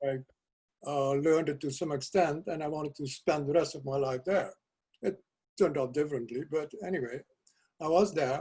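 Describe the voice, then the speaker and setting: Somewhat breathy and dark and mellow in tone, a man with a fairly high pitch and fairly even intonation talks at a fairly quick pace, broken by long, frequent pauses. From South America (Curaçao, Suriname). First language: Dutch. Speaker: poet. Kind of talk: interview.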